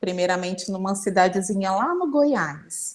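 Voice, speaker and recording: This woman speaks at a medium pitch. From Brazil, Federal District (Ceilândia). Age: 30s. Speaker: interviewee, student. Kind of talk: casual interview.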